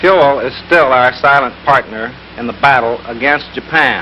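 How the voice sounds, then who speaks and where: Against noticeable background noise, a man speaks with medium pitch. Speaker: government official. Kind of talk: public service appeal.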